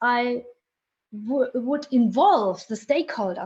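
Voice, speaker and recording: Speaking at a very slow pace, a woman with a German accent lets her pitch swing very widely. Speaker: vocational training researcher. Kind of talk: interview. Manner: halting.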